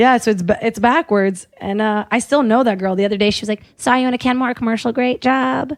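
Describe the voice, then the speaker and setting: A woman at a fairly quick pace with hardly any pauses, fairly high-pitched with ordinary pitch variation, in a dry, close sound with no echo and a quiet background. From Brazil, then Virginia from age 13. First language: Portuguese. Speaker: commercial actress. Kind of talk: casual chat.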